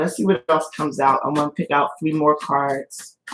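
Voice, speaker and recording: Shaky and very deep in pitch, a woman's voice moves at a moderate pace. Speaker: tarot reader. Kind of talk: live tarot reading. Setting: livestream.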